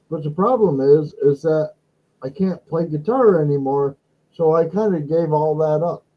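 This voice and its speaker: He speaks in a normal speaking voice, pitched fairly high. His pace is moderate, and his pitch varies in an ordinary way. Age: 60s. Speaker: live stream host, former guitar entertainer. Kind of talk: casual chat. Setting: live stream.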